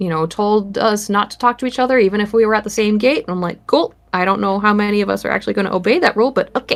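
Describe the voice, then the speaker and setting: Very fast speech with a Minnesotan accent, ordinary pitch variation and hardly any pauses. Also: woman, medium pitch for a woman. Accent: Minnesota. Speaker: horror artist. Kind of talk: casual interview.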